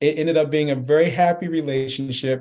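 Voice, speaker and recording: The voice has a dark, mellow tone and a New York accent. It moves at a moderate pace with fairly even intonation. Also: man. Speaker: marketing executive. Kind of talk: interview.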